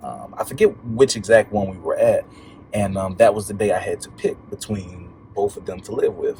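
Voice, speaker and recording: A man speaks at a moderate pace, his loudness swinging widely. Background noise is noticeable throughout. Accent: American. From Baltimore and Atlanta, US. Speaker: podcast guest, motivational speaker. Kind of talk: casual interview, personal story.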